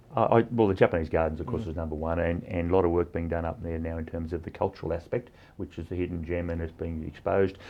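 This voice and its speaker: Speaking with an Australian accent, a man uses a very deep, low pitch and fairly even intonation. He goes very fast with hardly any pauses. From Cowra, New South Wales, Australia. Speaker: mayor and farmer. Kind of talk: interview answer.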